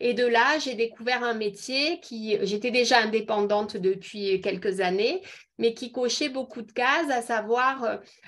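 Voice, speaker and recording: A woman's fairly high voice, a normal speaking voice, with ordinary pitch variation and a fairly slow pace. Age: 50s. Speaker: beauty product seller. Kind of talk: online presentation. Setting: video call.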